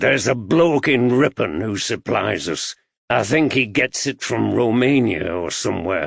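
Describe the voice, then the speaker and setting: Putting on a raspy character voice at a medium pitch, the man talks at a moderate pace. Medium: read story. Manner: gruff, blunt, belligerent.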